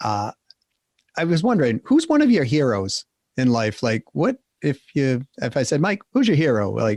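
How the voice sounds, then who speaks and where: A man with a Boston accent, medium-pitched, at a moderate pace, in a dry, close recording with no echo. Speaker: podcast host. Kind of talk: interview.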